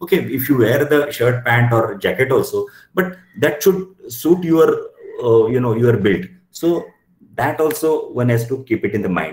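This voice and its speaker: With a Marathi accent, a man speaks at a fairly slow pace in a somewhat breathy, fairly high-pitched voice. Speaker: company director. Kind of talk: expert talk to students. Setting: video call.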